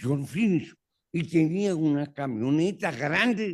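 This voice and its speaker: A man delivers his words very slowly with lively intonation, on a very clean recording with a silent background. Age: 80s+. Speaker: law professor. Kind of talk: conversation with audience Q&A.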